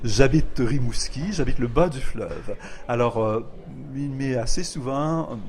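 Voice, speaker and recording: In a room with audible echo, a somewhat breathy man speaks at a fairly slow pace, at a medium pitch with ordinary pitch variation. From Quebec, Lower St. Lawrence (Rivière-du-Loup). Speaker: poet and literature professor. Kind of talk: interview. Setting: poetry festival. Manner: measured, hesitant with frequent euh.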